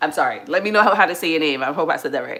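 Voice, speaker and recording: Noticeable background noise sits behind this woman's voice. Her pitch is very deep and low, with a New York accent. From New York City, the Bronx. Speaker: family livestreamer. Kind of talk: casual livestream chat. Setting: at home, cooking. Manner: casual, chatty.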